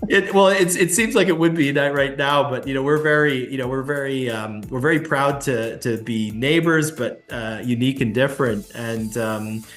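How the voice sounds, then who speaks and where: With music in the background and audible room echo, the speaker keeps a moderate pace and lively intonation, hardly pausing at all. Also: man, fairly high pitch for a man. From Canada. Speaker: travel company executive. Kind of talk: interview. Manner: halting, many fillers and restarts.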